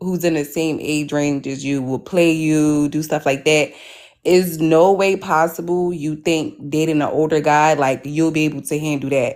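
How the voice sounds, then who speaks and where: A woman's very deep, low voice with fairly even intonation, on a very clean recording with a silent background. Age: 20s. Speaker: caller. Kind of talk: casual chat.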